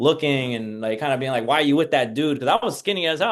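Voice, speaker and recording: With ordinary pitch variation, a man talks in a fairly high pitch. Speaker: mental health professional guest. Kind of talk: casual interview chat. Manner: loud; casual, filler-heavy.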